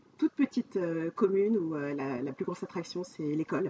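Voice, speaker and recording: Over noticeable background noise, a woman speaks fairly quickly at a fairly low pitch with ordinary pitch variation. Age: 40s. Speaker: life coach. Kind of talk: podcast interview.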